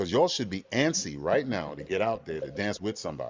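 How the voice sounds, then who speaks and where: This man speaks at a medium pitch with vocal fry and a fairly quick pace. His tone is animated, with very wide pitch swings. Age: 60s. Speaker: dance legend and club dancer. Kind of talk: interview.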